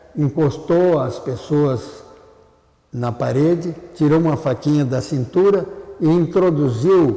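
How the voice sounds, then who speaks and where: A man talks at a very slow pace with a fairly high pitch and ordinary pitch variation. Noticeable background noise runs underneath. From southern Brazil, Porto Alegre. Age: 90s. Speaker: retired ophthalmologist. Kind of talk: oral history interview.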